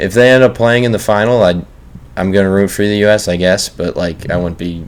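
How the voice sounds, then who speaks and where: Noticeable background noise underlies speech delivered at a fairly quick pace. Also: man. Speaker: pro basketball player and podcast host. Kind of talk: casual podcast chat.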